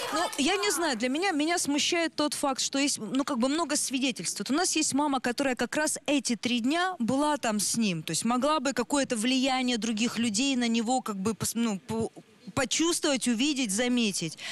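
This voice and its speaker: With a high voice and lively intonation, a woman speaks at a moderate pace. Her loudness is very even, and the sound is dry, with no echo. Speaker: psychologist; guest. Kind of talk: expert commentary. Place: studio. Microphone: handheld.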